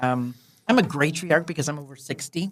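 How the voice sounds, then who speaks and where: A woman talks at a very fast pace in a very deep, low voice. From Indianapolis, Indiana. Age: 60s. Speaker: community leader. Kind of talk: interview. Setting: podcast studio.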